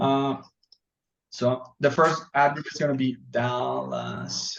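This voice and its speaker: A man talks at a very slow pace, with long, frequent pauses and big swings in loudness. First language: Spanish. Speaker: software trainer. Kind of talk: tutorial. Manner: halting.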